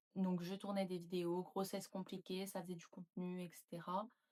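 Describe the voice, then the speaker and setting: A woman's medium-pitched voice at a moderate pace, dry and close with no echo. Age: 20s. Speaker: YouTuber and nurse. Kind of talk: casual vlog talk to camera.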